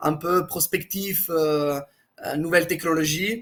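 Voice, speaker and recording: The speaker has a slight Italian accent. The pace is fairly slow. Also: man. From Italy. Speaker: blockchain executive. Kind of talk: interview.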